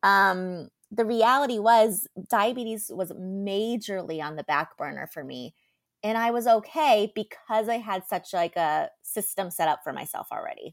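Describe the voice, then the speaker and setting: A woman's plain, everyday voice, at medium pitch and a moderate pace, comes through on a very clean recording with a silent background. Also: lively intonation. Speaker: podcast co-host, mental health counselor. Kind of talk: casual chat. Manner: laughs often.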